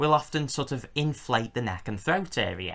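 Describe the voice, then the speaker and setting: A man talks with an English accent and lively intonation. The recording is very clean, with a silent background. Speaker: reptile keeper and video creator. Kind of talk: tutorial. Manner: loud.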